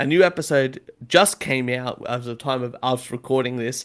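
He talks at a fairly slow pace. The man's pitch is medium. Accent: Australian. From Australia. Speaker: podcast host. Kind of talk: casual chat. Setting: video call.

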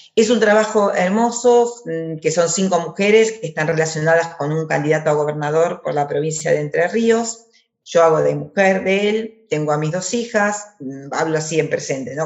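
A moderately paced woman's voice, fairly low in pitch, its pitch moving in an ordinary way. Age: 50s. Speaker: actress. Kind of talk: interview. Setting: video call. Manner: halting, many repetitions.

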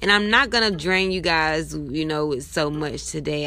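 A woman talks at a fairly slow pace in a warm, upbeat tone, with music in the background. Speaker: podcaster. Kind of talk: casual monologue with fervent prayer. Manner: earnest, heartfelt; warm, upbeat, encouraging.

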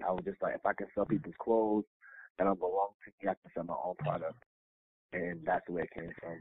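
Speaking at a very fast pace, a man with a fairly low pitch uses ordinary pitch variation. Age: 30s. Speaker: personal chef and caterer. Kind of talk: casual interview. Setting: remote recording.

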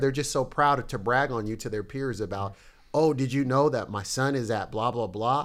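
A man at medium pitch and a fairly quick pace, a normal speaking voice. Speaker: pastor. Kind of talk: casual chat. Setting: studio.

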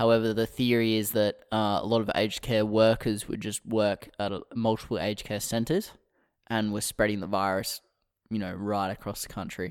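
A man with an Australian accent and a fairly low pitch speaks at a moderate pace in a monotone, flat delivery, recorded very cleanly against a silent background. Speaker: political podcast co-host. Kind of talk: casual chat.

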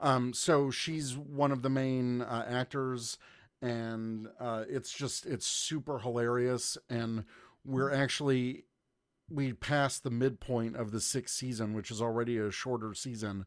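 Heard on a very clean recording with a silent background, a normal speaking voice with an American accent moves at a fairly slow pace with fairly even intonation. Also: man, medium pitch for a man. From US South, Georgia. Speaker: podcaster, guest co-host. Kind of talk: casual chat.

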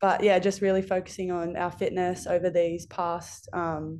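A woman speaks in an Australian accent, her voice fairly low-pitched with a dark, mellow tone. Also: quiet background. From rural New South Wales, Australia. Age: 20s. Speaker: professional rugby player. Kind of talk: casual interview.

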